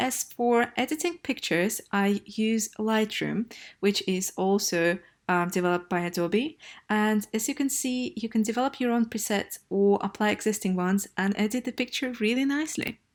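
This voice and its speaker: With a Russian accent, a woman with a fairly high pitch speaks at a moderate pace and very even loudness. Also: ordinary pitch variation. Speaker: travel blogger. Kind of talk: vlog. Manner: casual with filler hesitations.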